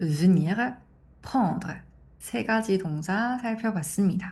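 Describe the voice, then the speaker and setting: A woman's medium-pitched, somewhat breathy voice, dark and mellow in tone, with lively intonation. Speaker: French language teacher. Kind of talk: tutorial.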